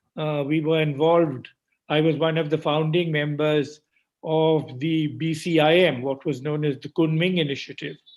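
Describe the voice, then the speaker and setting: Monotone, flat intonation marks this man's speech. His pitch is fairly high and his pace moderate. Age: 80s+. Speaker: economist. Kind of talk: keynote speech. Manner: halting, with frequent fillers.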